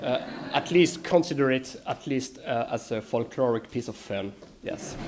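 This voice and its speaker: Noticeable background noise sits under a man's voice. He talks at a medium pitch and a moderate pace with ordinary pitch variation. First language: French. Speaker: philosophy lecturer. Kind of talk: conference lecture reading. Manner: hesitant, many fillers.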